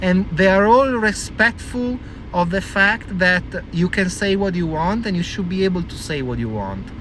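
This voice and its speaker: A man with an Italian accent talks at a moderate pace in a high voice with ordinary pitch variation, amid noticeable background noise. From Italy. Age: 40s. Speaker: vlogger. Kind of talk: casual monologue. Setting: in a car. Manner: animated.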